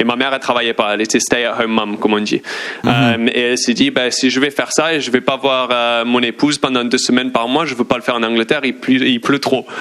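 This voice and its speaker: Over noticeable background noise, a man with a medium-pitched voice talks very fast in a flat monotone. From England. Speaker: sports journalist. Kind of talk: casual chat.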